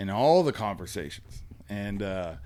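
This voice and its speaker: A man's fairly low-pitched voice. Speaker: podcast co-host. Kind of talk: casual chat. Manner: loud.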